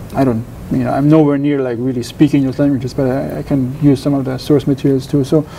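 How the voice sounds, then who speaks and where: The talking comes at a very fast pace. Noticeable background noise runs underneath. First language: German. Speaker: doctoral researcher in Pacific history. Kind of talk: interview. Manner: halting, many repetitions and false starts.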